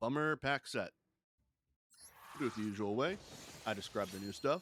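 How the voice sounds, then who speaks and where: With a dry, close sound and no echo, a man speaks at a moderate pace in a medium pitch with lively intonation. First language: not English. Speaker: gaming streamer. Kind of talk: casual chat while reading card texts.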